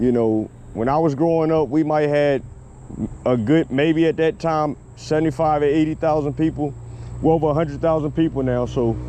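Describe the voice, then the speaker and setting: Over noticeable background noise, a man with a Virginia accent talks at a fairly quick pace, keeping his loudness very even and his intonation fairly even. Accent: Southern US (Virginia). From US South, Roanoke, Virginia. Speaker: vlogger. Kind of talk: casual vlog narration. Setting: outdoors, riding a scooter on a trail. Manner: casual, conversational.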